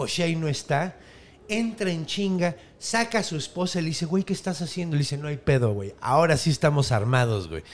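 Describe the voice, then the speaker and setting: Animated and lively in intonation, a man speaks with a Mexican accent at a fairly quick pace. The recording is very clean, with a silent background. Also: fairly high pitch for a man. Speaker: podcast host and storyteller. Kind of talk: storytelling in casual chat.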